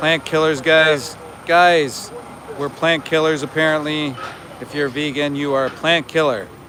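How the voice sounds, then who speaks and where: Against noticeable background noise, a man speaks fairly slowly in a fairly high pitch with monotone, flat intonation. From Canada. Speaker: animal rights activist livestreamer. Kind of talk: live outdoor vigil stream. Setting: outdoors outside a slaughterhouse.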